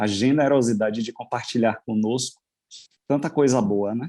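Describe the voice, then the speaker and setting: Speaking at a fairly slow pace, a man uses a dark, mellow tone at medium pitch with fairly even intonation. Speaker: wedding celebrant. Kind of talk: casual chat.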